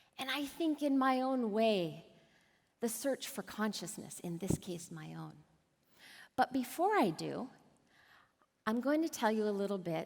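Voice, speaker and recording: A woman speaks at medium pitch with lively intonation and big swings in loudness, at a fairly slow pace. Long, frequent pauses break up her speech in a very clean recording with a silent background. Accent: American. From US, Wyoming. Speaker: author and keynote speaker. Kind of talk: conference talk. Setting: stage with audience. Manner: animated.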